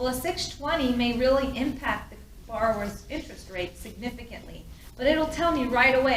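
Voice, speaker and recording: High-pitched woman's voice at a fairly quick pace, ordinary pitch variation, audible room echo. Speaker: mortgage loan officer. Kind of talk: presentation. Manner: fast.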